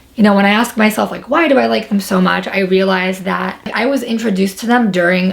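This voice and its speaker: Over noticeable background noise, a woman with a New York accent speaks fairly quickly at a medium pitch with ordinary pitch variation. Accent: New York American English. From New York, Long Island. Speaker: YouTuber. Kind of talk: casual vlog storytelling.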